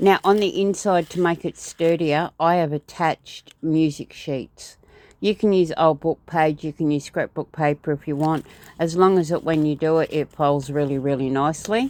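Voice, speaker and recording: A woman's very deep, low voice with an Australian accent, moderately paced with ordinary pitch variation, on a very clean recording with a silent background and a dry, close sound with no echo. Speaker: crafter. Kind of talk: tutorial. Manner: halting; casual.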